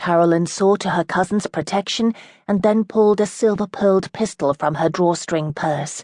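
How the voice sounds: Someone reads in a natural reading voice whose pitch moves in an ordinary way.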